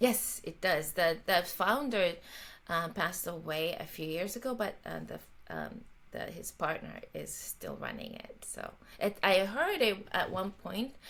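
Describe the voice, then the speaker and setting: A woman with a Japanese accent speaks at a fairly slow pace, her loudness rising and falling sharply. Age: 50s. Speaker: jazz violinist and composer. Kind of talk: interview conversation. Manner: halting, many fillers.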